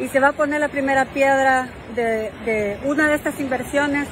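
Crowd noise fills the background. The sound itself is dry, with no echo. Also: woman. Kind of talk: casual live-stream chat. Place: beach. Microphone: phone near.

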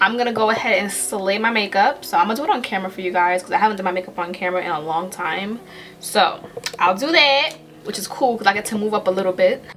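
A woman speaks at a very fast pace with light background noise. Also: ordinary pitch variation. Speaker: beauty vlogger. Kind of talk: casual vlog chat. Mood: upbeat, playful. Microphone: camera far.

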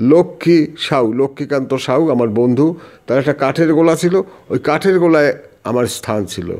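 A man's dark, mellow voice with lively intonation. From West Bengal, North 24 Parganas. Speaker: veteran politician and teacher. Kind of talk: interview. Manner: animated.

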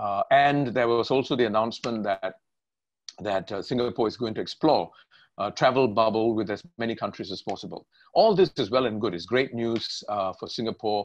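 With ordinary pitch variation and a moderate pace, a man talks over a quiet background. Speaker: interview host. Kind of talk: interview question. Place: home room. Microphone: webcam.

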